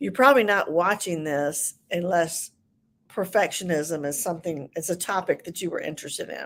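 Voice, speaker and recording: In a very clean recording with a silent background, a woman with a Southern US accent speaks at a fairly low pitch with ordinary pitch variation. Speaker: ADHD coach. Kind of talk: livestream talk. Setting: live video stream. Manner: hesitant, many fillers.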